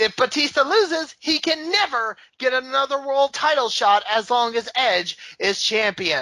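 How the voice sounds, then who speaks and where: A woman raises and projects a high, bright, sharp voice. She speaks at a fairly slow pace. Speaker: wrestling podcast co-host. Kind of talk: casual chat recapping a wrestling event.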